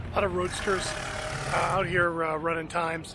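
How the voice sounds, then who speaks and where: Noticeable background noise surrounds a man talking. He keeps a moderate pace, and the sound is dry with no echo. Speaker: travel vlogger. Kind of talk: casual vlog chat. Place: open country. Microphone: phone near.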